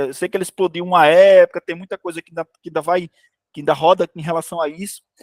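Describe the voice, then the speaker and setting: A man speaks with a high pitch. The sound is dry and close with no echo. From Brazil, Ceará (Areia Branca). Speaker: game developer, studio CEO. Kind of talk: informal talk to students. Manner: fast.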